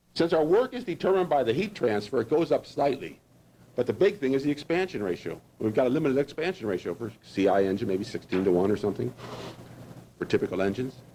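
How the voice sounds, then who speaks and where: A man at medium pitch, very fast pace and very wide pitch swings. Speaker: engineering lecturer. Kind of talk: lecture.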